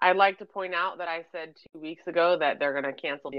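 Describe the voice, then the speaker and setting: This woman talks at a fairly quick pace in a normal speaking voice. Her pitch is fairly low, and her intonation stays fairly even. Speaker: podcast host. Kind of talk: casual chat. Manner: sarcastic, joking.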